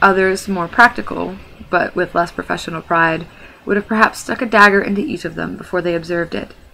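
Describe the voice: The voice is plain reading aloud. Nothing else marks the delivery.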